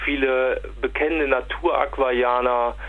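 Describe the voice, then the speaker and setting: While a man talks, background noise is noticeable throughout. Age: 40s. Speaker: aquarium products distributor. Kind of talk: interview. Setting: phone call. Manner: hesitant, frequent fillers and repetitions.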